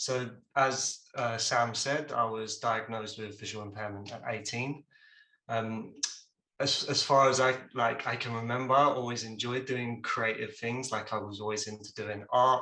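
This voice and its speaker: A man with a bright, sharp tone speaks at a medium pitch and a moderate pace, his intonation monotone and flat. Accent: English. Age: 20s. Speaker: junior video editor, visually impaired creative. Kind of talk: presentation on a video call. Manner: casual with many fillers.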